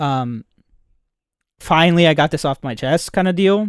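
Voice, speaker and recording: Very clean audio over a silent background, spoken with a non-native accent. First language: not English. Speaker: streamer. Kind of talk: casual chat. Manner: halting.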